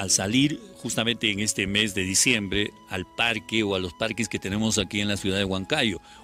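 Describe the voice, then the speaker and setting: Over faint music in the background, a man talks at a moderate pace with a fairly low pitch and fairly even intonation, in a dry sound with no echo. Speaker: reporter. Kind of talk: news field interview. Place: garden.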